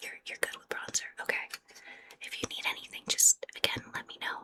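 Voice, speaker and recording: A woman is whispering. Her pace is moderate. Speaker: ASMR artist. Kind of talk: ASMR roleplay, whispered makeup session. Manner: whispered, soft-spoken.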